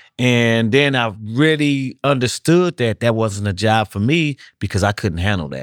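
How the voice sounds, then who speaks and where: Recorded very cleanly against a silent background, the sound is dry and close with no echo. A man at medium pitch has a plain, everyday voice, with lively intonation and a moderate pace. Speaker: incarcerated man. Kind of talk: casual conversation.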